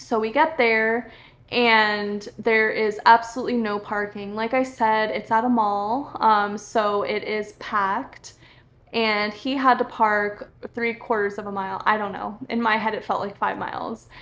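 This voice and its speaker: A woman with an American accent in a normal speaking voice, fairly high in pitch, at a fairly slow pace with fairly even intonation. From Florida. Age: 30s. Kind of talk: casual storytelling vlog. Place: home room.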